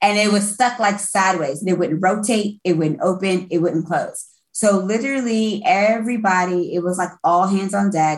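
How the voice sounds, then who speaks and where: Somewhat breathy, a woman speaks with hardly any pauses and ordinary pitch variation. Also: medium pitch for a woman, moderate pace. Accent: American. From Brooklyn, New York, later Florida. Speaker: music industry event producer. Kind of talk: casual chat.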